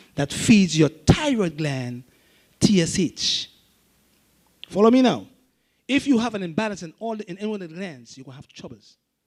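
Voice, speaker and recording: Lively intonation colors a man's fairly quick speech. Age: 60s. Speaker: herbalist. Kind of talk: lecture. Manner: repetitive, halting.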